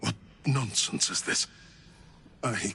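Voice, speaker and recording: Over clear background noise, a man uses a raspy put-on character voice at a medium pitch. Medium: video game. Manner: grandiose, fervent.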